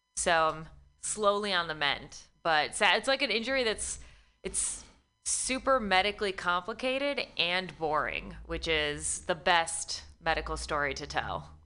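A woman talks with lively intonation at a fairly low pitch. Her tone is bright and sharp, with vocal fry. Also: fairly slow pace. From Michigan, US Midwest. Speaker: comedian. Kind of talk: casual chat. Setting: studio.

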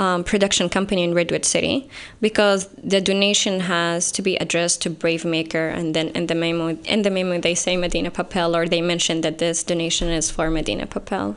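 A woman with an Arabic accent talks at a fairly quick pace and fairly low pitch, using ordinary pitch variation and hardly any pauses. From Saudi Arabia. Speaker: writer. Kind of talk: interview.

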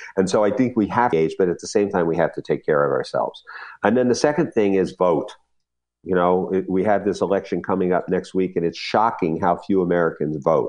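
A man talks in a plain, everyday voice, fairly low in pitch, with ordinary pitch variation, a fairly quick pace and very even loudness. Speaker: diversity consultant. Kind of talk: interview.

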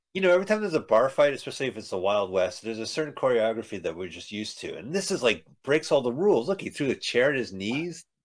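Over a quiet background, a man with a fairly high voice and vocal fry talks at a very fast pace with hardly any pauses, very wide pitch swings and big swings in loudness. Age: 50s. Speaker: podcast host reviewing movies. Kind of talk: casual chat.

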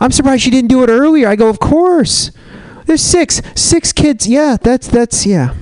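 A man with an extremely high pitch speaks at a moderate pace with very even loudness, in a dry, close sound with no echo and noticeable background noise. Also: ordinary pitch variation. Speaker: stand-up comedian. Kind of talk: stand-up. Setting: stage with audience.

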